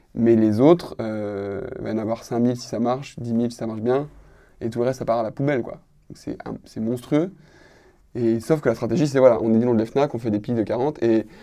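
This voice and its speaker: With a dark, mellow tone, a man speaks at medium pitch with fairly even intonation. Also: quiet background. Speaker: comic book author. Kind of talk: casual group discussion.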